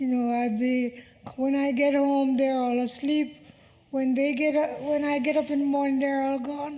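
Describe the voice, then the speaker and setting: Over noticeable background noise and audible room echo, a woman with a high pitch talks at a moderate pace in monotone, flat intonation. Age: 70s. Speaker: family member at a party. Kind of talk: speech at a family celebration. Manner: soft-spoken.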